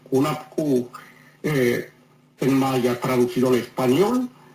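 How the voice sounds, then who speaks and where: A man's medium-pitched voice at a very slow pace. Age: 70s. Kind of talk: interview.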